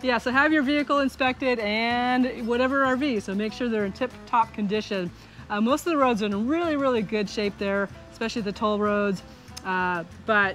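Faint music plays in the background as a woman speaks at a fairly quick pace with ordinary pitch variation. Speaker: RV travel vlogger. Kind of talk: casual vlog chat. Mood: friendly, relaxed. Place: garden. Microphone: phone near.

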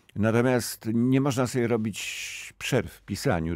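Against a quiet background, a man speaks at a very slow pace in a dry sound with no echo. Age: old. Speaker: novelist; guest. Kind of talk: radio interview; interview answer. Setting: studio. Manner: halting, with many repetitions. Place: studio. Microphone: studio mic.

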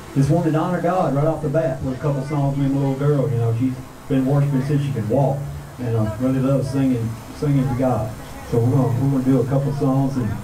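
A man rushes along at a very fast pace, his intonation fairly even, with noticeable background noise behind him. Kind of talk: stage announcement. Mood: earnest, memorial tone. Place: stage.

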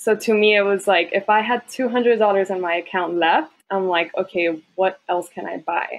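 With an American accent and hardly any pauses, a woman speaks at a medium pitch in a plain, everyday voice. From Texas border, Laredo; partly Guadalajara, Mexico. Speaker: first-gen college grad, accountant. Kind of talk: casual interview.

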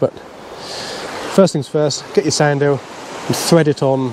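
A man talks at a fairly quick pace, his voice dry with no echo, over noticeable background noise. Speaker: presenter. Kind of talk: tutorial. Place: beach. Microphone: lapel.

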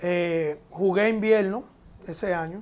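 At a very slow pace, a man speaks in a high voice with fairly even intonation. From Dominican Republic, San Isidro near Santo Domingo; Dominican Republic. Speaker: professional baseball catcher; interviewee. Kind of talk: interview. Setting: at his home. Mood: relaxed, reflective. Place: studio. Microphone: lapel.

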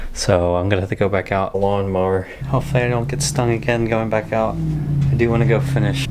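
Speaking very fast, a man with a fairly low voice shows ordinary pitch variation amid noticeable background noise. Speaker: vlogger. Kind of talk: casual vlog chat. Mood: annoyed, in mild pain. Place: home room. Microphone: phone near.

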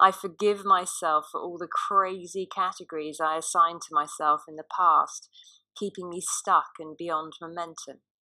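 A woman's loudness swings widely. The recording is very clean, with a silent background. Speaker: self-development coach. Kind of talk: guided affirmation read. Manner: slow.

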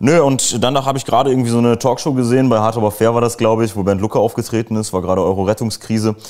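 Over a quiet background, a man talks at a very fast pace with hardly any pauses, very even loudness and fairly even intonation. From Germany. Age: 20s. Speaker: former party member and author; interview guest. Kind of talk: casual interview. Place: home room. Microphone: lapel.

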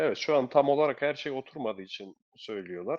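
Pitch varies in an ordinary way as a man speaks fairly quickly. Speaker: betting tips channel host. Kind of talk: casual chat.

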